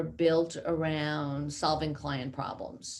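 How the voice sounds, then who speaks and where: A woman with a New York accent speaks at a very slow pace. Her voice sits fairly low. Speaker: company CEO. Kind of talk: interview.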